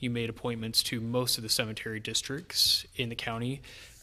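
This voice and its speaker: Noticeable background noise is present. Over it, the voice is soft-spoken. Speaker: county staff member. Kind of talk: formal presentation.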